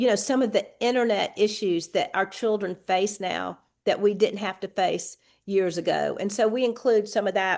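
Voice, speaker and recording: A woman with a Southern US accent speaks at a moderate pace in a fairly high voice against a quiet background. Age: 60s. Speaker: state legislator. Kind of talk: podcast interview.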